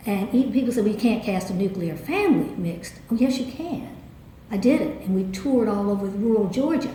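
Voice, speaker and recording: A fairly high-pitched woman with a slight Southern accent, lively intonation, and a fairly quick pace, amid noticeable background noise and audible room echo. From US South. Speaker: theatre director. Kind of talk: interview.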